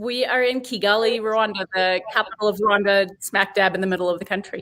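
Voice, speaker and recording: In a Boston accent, a woman at medium pitch talks at a fairly quick pace with fairly even intonation. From US, Boston. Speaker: head brewer and brewery director. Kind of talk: interview. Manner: hesitant, many fillers.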